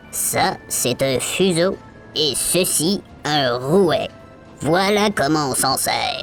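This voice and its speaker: With clear music in the background, a put-on character voice at a middle pitch moves at a very slow pace. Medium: read story.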